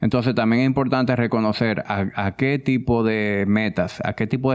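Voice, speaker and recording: A man speaks at a moderate pace and a medium pitch, with fairly even intonation. It is a normal speaking voice. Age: 30s. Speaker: fitness coach and wellness entrepreneur. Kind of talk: interview.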